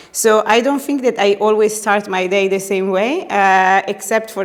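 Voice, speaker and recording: The speaker is a woman with a mid-range pitch. Background noise is clearly audible. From Italy. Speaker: party secretary general. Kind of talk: interview. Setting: party headquarters office. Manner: loud; hesitant with many fillers.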